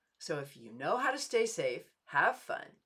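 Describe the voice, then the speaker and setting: The woman's voice has a bright, sharp tone. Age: 70s. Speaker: dating coach. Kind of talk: promotional talk to camera.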